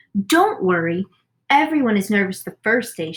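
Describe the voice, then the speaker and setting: A woman puts on a character voice at a fairly high pitch, with very wide pitch swings. She speaks at a moderate pace, and the sound is dry and close with no echo. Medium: read story. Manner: gushing, brisk.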